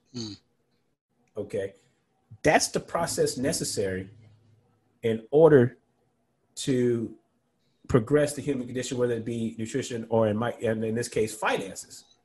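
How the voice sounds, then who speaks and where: A man speaks at medium pitch with ordinary pitch variation. His voice is somewhat breathy, with long, frequent pauses. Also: moderate pace. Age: 40s. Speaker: financial planner and professor. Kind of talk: casual interview.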